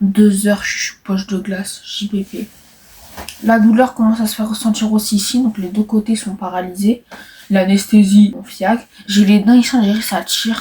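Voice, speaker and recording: Her fairly high-pitched voice keeps a monotone, flat intonation as the woman speaks at a moderate pace. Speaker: vlogger. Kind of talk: vlog. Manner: halting.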